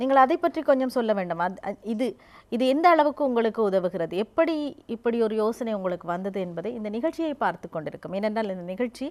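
A woman's fairly high voice with very wide pitch swings, on a very clean recording with a silent background. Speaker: TV magazine show host. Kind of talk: interview.

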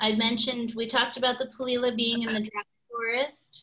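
With a bright, sharp tone, a woman speaks at a moderate pace against a quiet background. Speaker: birding guide; presenter. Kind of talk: slide presentation. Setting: video call. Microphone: video call.

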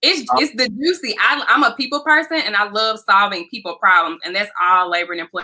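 A woman with an American accent speaks very fast, with hardly any pauses, in a bright, sharp, fairly high voice. Her pitch swings very widely against a quiet background. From US South, Memphis, Tennessee. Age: 20s. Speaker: employment attorney. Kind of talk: interview. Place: home room.

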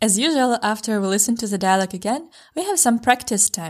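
A woman talks at a moderate pace and a medium pitch with lively intonation. The recording is very clean, with a silent background. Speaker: language teacher. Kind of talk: language lesson.

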